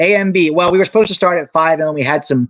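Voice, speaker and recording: A man speaks with an American accent. The sound is dry and close, with no echo. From Thailand, American parents. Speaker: soccer youtuber and former coach. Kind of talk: live stream Q&A. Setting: live stream.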